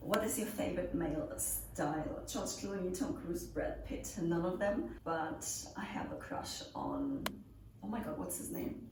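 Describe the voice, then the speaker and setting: In a German accent, a woman talks at a fairly slow pace, with noticeable background noise and audible room echo. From Germany, near Nuremberg. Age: 20s. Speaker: pole dance instructor. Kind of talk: Q&A video, casual chat. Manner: casual, with fillers.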